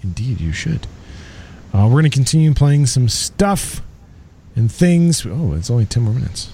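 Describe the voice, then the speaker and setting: A man's dark, mellow, somewhat breathy tone, with very wide pitch swings and long, frequent pauses. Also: medium pitch for a man, moderate pace. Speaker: radio host. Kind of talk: radio DJ patter, introducing a song between tracks. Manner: casual, chatty, relaxed.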